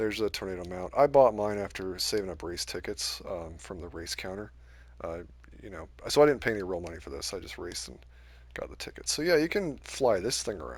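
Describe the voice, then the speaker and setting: Using a very deep, low voice with vocal fry, a man talks at a fairly quick pace. His pitch swings very widely and his loudness shifts in big swings. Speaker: gaming YouTuber. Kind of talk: gameplay commentary. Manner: casual, hesitant with fillers.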